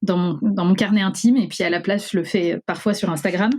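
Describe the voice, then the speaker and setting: Fairly even intonation at a fairly quick pace. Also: woman. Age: 30s. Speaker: lawyer sharing eating disorder testimony. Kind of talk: testimony. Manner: hesitant with many fillers.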